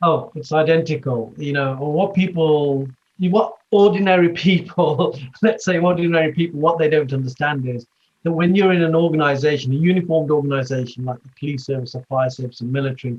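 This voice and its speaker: Somewhat breathy and fairly high for a man, his voice moves at a fairly quick pace with ordinary pitch variation. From West Midlands, England (Wolverhampton). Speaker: former police leader and leadership coach. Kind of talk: interview conversation.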